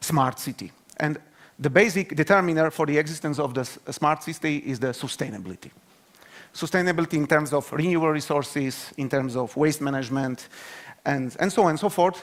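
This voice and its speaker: A fairly high male voice at a fairly quick pace, with ordinary pitch variation. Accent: Slovak. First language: Slovak. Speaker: university researcher. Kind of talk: conference talk. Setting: stage with audience. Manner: halting.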